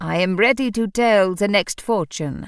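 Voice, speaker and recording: A husky, booming put-on character voice speaks at a middle pitch and a moderate pace. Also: very clean recording, silent background. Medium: read story. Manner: booming, grandiose.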